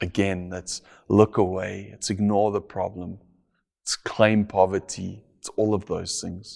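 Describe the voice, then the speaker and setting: The speech is fairly slow, with monotone, flat intonation and big swings in loudness. The recording is very clean, with a silent background. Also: man, fairly low pitch for a man. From South Africa. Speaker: pastor. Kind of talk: sermon.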